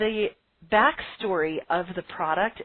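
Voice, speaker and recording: The woman uses a normal speaking voice, pitched at a medium level, with ordinary pitch variation. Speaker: business coach, podcast host. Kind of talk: webinar lecture. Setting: live call with phone lines.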